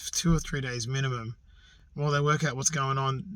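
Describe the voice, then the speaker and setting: A man speaks with an Australian accent and ordinary pitch variation. His voice is somewhat breathy. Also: very clean recording, silent background. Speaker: outdoors vlogger. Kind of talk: personal vlog. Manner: quiet; halting.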